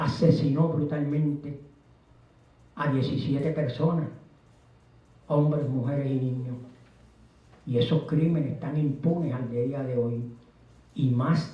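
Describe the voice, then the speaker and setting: Against audible room echo, a man talks at a fairly slow pace with fairly even intonation and long, frequent pauses. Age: 70s. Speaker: retired teacher, history lecturer. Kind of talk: lecture.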